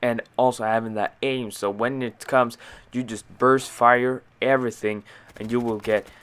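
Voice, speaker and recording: A man speaks at a medium pitch in a flat, monotone way. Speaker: gaming video commentator. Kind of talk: casual gameplay commentary.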